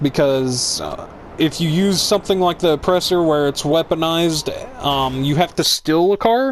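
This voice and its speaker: A man speaks loudly at a moderate pace, his pitch high with ordinary variation. Noticeable background noise runs behind him. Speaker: gaming YouTuber. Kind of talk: gameplay tutorial. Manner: loud, hyper.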